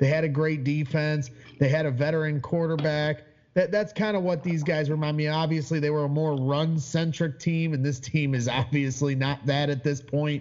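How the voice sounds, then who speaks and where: A man talks at a moderate pace in a normal speaking voice. His pitch sits fairly high, and his intonation stays fairly even. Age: 30s. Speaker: sports fan podcaster. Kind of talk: casual chat.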